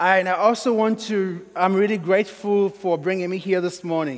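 With a Sierra Leonean accent, a man speaks at a high pitch. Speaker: pastor. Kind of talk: sermon. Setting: church.

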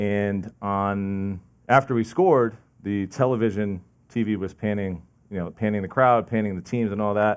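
A fairly low-pitched man's voice with a New Jersey accent. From New Jersey, Lincoln Park. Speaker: lay preacher. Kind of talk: sermon. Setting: church, seated with audience. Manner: fast.

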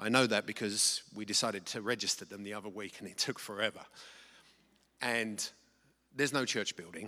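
A man with an English accent talks at a fairly quick pace in a bright, sharp tone with fairly even intonation. His loudness swings widely, and he takes long, frequent pauses. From England. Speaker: missionary, nonprofit director. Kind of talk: testimony / mission report. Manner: halting, many fillers.

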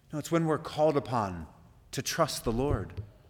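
A man speaks at a moderate pace with a fairly high pitch. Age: 40s. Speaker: pastor. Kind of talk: sermon. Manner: halting.

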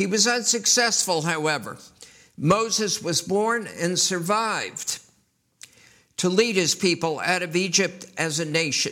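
A man with an American accent uses a raised, projected voice at a high pitch. His tone is bright and sharp. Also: ordinary pitch variation, fairly slow pace. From US Northeast, New York City. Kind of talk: sermon.

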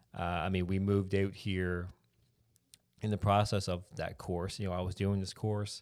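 A man speaks at a moderate pace with a very deep, low pitch and flat, monotone intonation. The recording is very clean, with a silent background. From rural Newfoundland, Canada. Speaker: church planter candidate. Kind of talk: interview about life story.

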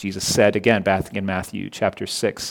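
A man speaks at a moderate pace with vocal fry. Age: 30s. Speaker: pastor. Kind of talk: sermon. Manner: halting.

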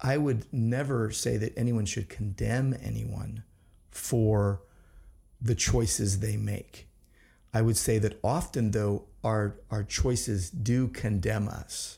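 Speaking at a very slow pace, a man uses ordinary pitch variation in a somewhat breathy voice. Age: 50s. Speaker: pastor and podcast host. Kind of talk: casual chat.

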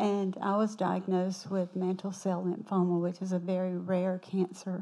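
In a Southern US accent, a woman talks at a fairly slow pace with a medium pitch and a dark, mellow tone. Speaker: church member. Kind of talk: testimony. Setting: church.

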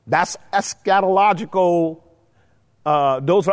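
Animated in tone, a man speaks at a fairly slow pace in a high pitch with ordinary pitch variation. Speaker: Bible study teacher. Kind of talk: Bible study lecture with Q&A. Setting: church room with live audience and mics. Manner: animated, rhetorical questioning.

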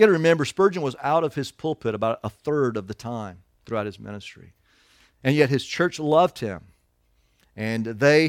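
In a very clean recording with a silent background, a man with a plain, everyday voice of fairly high pitch sounds dry and close, with no echo. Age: 50s. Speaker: pastor. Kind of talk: sermon.

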